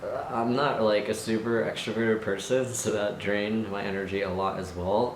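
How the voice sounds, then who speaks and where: Over noticeable background noise, a man with a fairly low voice speaks at a moderate pace with fairly even intonation and hardly any pauses. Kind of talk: casual vlog monologue. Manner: hesitant, many fillers.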